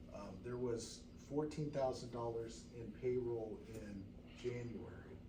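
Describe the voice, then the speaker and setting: Over audible room echo, a man talks at a very slow pace, his medium pitch held to fairly even intonation. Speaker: fire district board member. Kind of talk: public meeting discussion. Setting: board meeting room. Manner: halting, many fillers.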